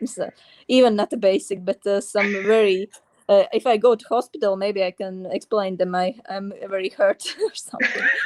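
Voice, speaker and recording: Speaking at a moderate pace with a Latvian accent, a woman uses a medium pitch and ordinary pitch variation in a dry, close sound with no echo. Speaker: writer. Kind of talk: interview. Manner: halting.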